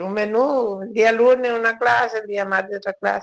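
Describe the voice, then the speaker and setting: Here a woman talks. The variation in her pitch is ordinary. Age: 70s. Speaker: retired restaurant cook and owner. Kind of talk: interview, reminiscing.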